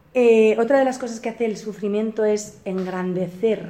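A woman speaks at a medium pitch and a moderate pace. Noticeable background noise is present. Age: 40s. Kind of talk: spiritual retreat talk.

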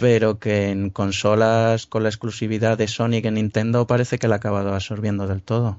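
A medium-pitched man with a Spanish accent and monotone, flat intonation. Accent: Peninsular Spanish. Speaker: podcast host. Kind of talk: casual chat.

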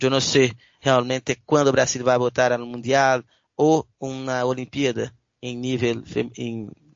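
The delivery is very slow. The intonation is flat and monotone. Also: man, medium pitch for a man. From Brazil, Belo Horizonte (Minas Gerais). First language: Portuguese (speaking Spanish). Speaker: sports journalist. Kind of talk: casual sports interview. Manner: halting, many fillers.

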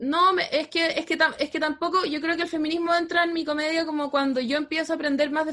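A woman speaks with a Chilean accent at a high pitch. Noticeable background noise runs behind her. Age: 30s. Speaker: comedian. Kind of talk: casual chat.

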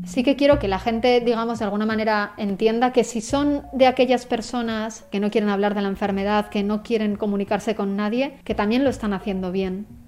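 The speaker has an unremarkable speaking voice with fairly even intonation. The pace is fairly quick, with hardly any pauses. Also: woman, fairly high pitch for a woman. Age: 20s. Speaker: photographer and cancer patient. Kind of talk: interview testimony.

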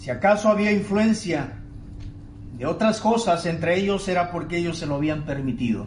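A high-pitched man speaks at a moderate pace with lively intonation. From Tabasco, Mexico. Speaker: pastor. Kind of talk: sermon. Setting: church, with online broadcast. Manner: emphatic, exhorting preacher in full flow.

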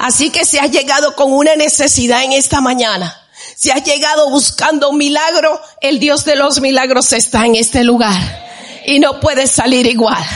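A woman with a high-pitched voice speaks at very even loudness, with audible room echo and noticeable background noise. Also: ordinary pitch variation, moderate pace. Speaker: worship leader. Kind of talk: exhortation in church service. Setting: church with congregation.

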